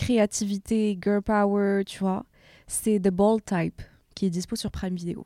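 A woman's dark, mellow voice at medium pitch, monotone and flat, at a very slow pace, in a dry, close recording with no echo. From Morocco. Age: 20s. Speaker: podcaster and social media creator. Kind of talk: casual chat.

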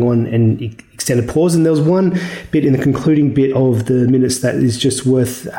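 A man with an Australian accent, medium pitch, dark and mellow tone, ordinary pitch variation and a moderate pace. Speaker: market economist guest. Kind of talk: technical financial commentary.

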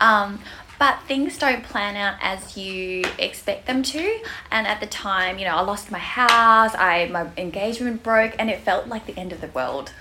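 With an Australian accent and lively intonation, the speaker goes at a fairly slow pace over noticeable background noise. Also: woman, fairly high pitch for a woman. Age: 30s. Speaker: bikini fitness competitor. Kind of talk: casual interview chat.

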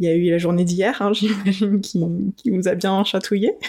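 At a moderate pace, a woman with a medium-pitched voice speaks with fairly even intonation over noticeable background noise. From adopted to France as an infant. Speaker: podcast host. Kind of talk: interview.

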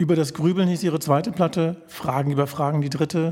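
A man with a fairly high pitch speaks at a fairly quick pace, his intonation fairly even. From Berlin (Charlottenburg). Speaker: podcast host. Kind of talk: interview. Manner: formal.

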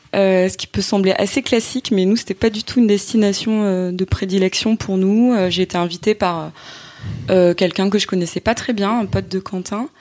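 Recorded dry and close with no echo, a woman uses a normal speaking voice at medium pitch with fairly even intonation. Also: moderate pace. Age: 30s. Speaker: entrepreneur, former journalist. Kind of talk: casual chat.

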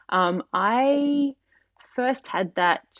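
A woman with an Australian accent. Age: 30s. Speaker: tattoo artist. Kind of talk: casual chat.

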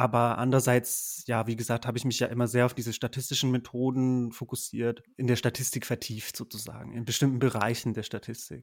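Monotone, flat delivery at a fairly quick pace, with hardly any pauses. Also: man, medium pitch for a man. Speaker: PhD researcher in geography. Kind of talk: casual interview.

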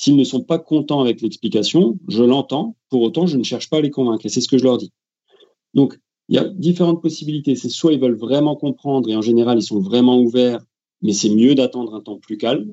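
A man talks at a fairly quick pace in a plain, everyday voice at medium pitch. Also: ordinary pitch variation. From France. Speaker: football referee. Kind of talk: interview.

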